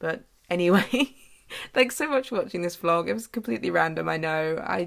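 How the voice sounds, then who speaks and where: A woman with a British accent speaks at a moderate pace in a fairly low pitch, with lively intonation. The recording is very clean, with a silent background. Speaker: artist vlogger. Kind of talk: vlog outro.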